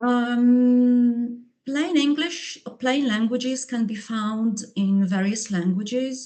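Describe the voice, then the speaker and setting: A woman with a Polish accent talks at a very slow pace. Her high voice has a dark, mellow tone and ordinary pitch variation. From Poland. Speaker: linguist and English teacher. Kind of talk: conference presentation. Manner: halting, many fillers and repetitions.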